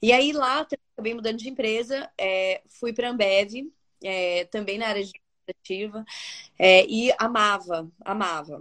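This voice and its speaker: A woman with a plain, everyday voice talks at a fairly slow pace. Her pitch is fairly high, and her loudness swings widely. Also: ordinary pitch variation. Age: 40s. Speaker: entrepreneur, founder of a decor brand. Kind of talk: casual interview. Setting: live video stream.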